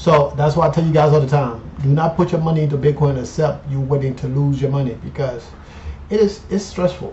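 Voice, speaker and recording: A man with a fairly high pitch and ordinary pitch variation speaks at a fairly quick pace while noticeable background noise carries on. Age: 50s. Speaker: finance YouTuber. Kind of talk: casual vlog monologue. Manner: animated.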